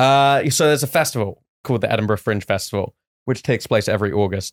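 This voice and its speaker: A man with an English accent, very fast, with ordinary pitch variation. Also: very clean recording, silent background. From England. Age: 20s. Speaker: stand-up comedian. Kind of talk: casual chat.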